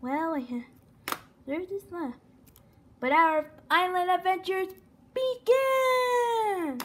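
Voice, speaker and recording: An extremely high-pitched voice moves at a very slow pace, broken by long, frequent pauses. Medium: machinima. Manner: bossy, upbeat.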